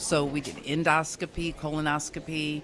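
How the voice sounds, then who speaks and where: Noticeable background noise accompanies a woman with an American accent and a very deep, low pitch. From US, various places (army family). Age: 60s. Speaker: cancer survivor, guest. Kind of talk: interview, personal testimony. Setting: radio studio.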